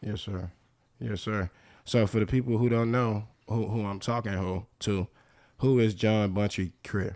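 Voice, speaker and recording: A man with an American accent uses a normal speaking voice, fairly low in pitch and fairly even in intonation. He talks at a fairly slow pace in a very clean recording with a silent background. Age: 30s. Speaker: podcast host. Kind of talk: interview.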